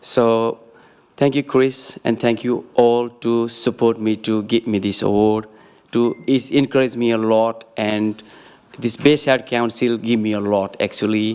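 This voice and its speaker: Speaking in a monotone with flat intonation, a man with a non-native accent talks at a fairly slow pace in a medium pitch. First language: not English. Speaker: local business owner receiving award. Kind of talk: short acceptance speech. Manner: halting.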